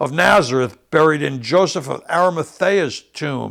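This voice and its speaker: On a very clean recording with a silent background, a man speaks in an ordinary speaking voice at a moderate pace with lively intonation. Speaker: bible teacher. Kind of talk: sermon.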